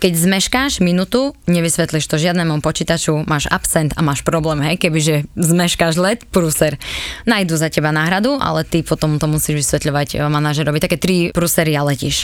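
A woman speaks in a very deep, low pitch at very even loudness. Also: ordinary pitch variation, moderate pace. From eastern Slovakia, Svidník area. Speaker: former flight attendant. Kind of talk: casual interview.

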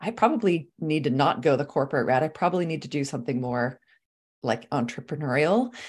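A woman's very deep, low voice with very wide pitch swings, a Californian accent, and a very fast pace. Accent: Californian American. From Los Angeles, California (Swedish-born). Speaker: life coach and speaker. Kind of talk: interview chat. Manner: animated, casual.

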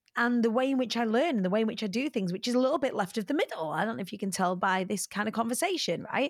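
A woman speaks with a British accent and ordinary pitch variation. The sound is dry and close with no echo, on a very clean recording with a silent background. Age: 40s. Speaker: motivational speaker and entertainer. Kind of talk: interview conversation.

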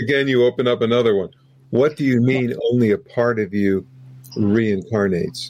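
A man with an unremarkable speaking voice talks at a medium pitch and a moderate pace, with ordinary pitch variation and very even loudness. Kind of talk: interview. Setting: video call.

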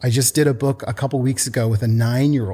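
A man with an American accent has a dark, mellow, somewhat breathy voice at medium pitch. The recording is very clean with a silent background. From US Pacific Northwest, Portland. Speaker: children's book author and company founder. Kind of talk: casual interview chat.

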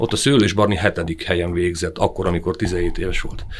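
A man's fairly low-pitched voice. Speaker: ski federation youth coordinator. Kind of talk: interview. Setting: studio. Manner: smiling.

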